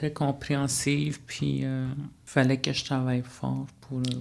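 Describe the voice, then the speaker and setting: This man's intonation is monotone and flat, at a medium pitch. He speaks very slowly. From Manawan, Atikamekw community, Quebec. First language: Atikamekw (speaking French). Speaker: college student life facilitator. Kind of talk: interview. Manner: hesitant, many fillers.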